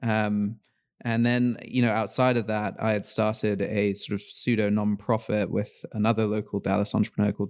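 On a very clean recording with a silent background, a man with an English accent speaks fairly quickly in a fairly low, monotone, flat voice. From England, London. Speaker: startup founder and CEO. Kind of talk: interview.

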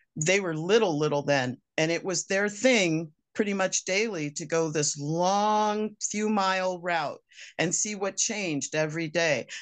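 Against a quiet background, a woman speaks at a fairly slow pace in a fairly low pitch with ordinary pitch variation. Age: 60s. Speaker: homesteader. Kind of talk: interview.

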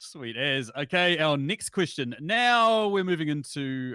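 A man with a New Zealand accent speaks with very wide pitch swings and a bright, sharp tone in a very clean recording with a silent background. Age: 30s. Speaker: podcast host. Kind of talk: casual livestream chat.

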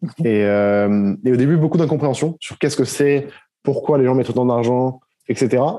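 A man speaks at a medium pitch and a moderate pace. His tone is dark and mellow, with ordinary pitch variation. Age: 20s. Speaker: clothing brand founder and content creator. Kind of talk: casual interview.

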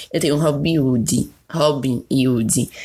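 A woman talks in an animated tone. Her pitch varies in an ordinary way. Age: 20s. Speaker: podcast host. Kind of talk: casual solo monologue.

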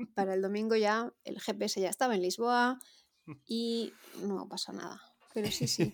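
The speaker goes at a fairly slow pace with ordinary pitch variation and long, frequent pauses. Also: woman, medium pitch for a woman. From Valencia region, Spain. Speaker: amateur runner, listener. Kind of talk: anecdote.

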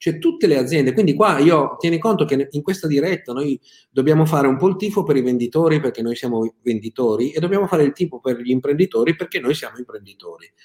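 A man's very fast delivery at a fairly high pitch. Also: ordinary pitch variation, dry, close sound with no echo. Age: 50s. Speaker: sales consultant. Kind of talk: live-streamed business talk. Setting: live video stream.

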